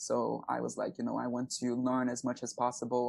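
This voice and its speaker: A man talks at a medium pitch with a Brazilian accent. His intonation stays monotone and flat. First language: Portuguese. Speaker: aspiring actor and singer. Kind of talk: podcast interview. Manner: many fillers like you know and um.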